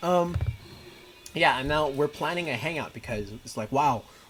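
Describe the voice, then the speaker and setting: A man talks at a moderate pace with a fairly high pitch. Noticeable background noise runs behind him. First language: Mandarin. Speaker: gaming streamer. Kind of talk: casual gameplay livestream commentary. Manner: casual, with frequent fillers.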